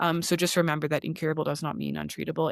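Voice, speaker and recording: A woman speaks with a strong Canadian accent. Her pitch is very deep and low. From Canada. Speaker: osteopath. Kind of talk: podcast interview.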